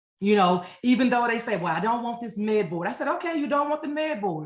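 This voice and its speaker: A woman with an American accent speaks at a fairly high pitch with lively intonation. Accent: Louisiana accent, comes out when nervous. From Louisiana, US South. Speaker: Army veteran, transition counselor and life coach. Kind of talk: webinar presentation. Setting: online webinar.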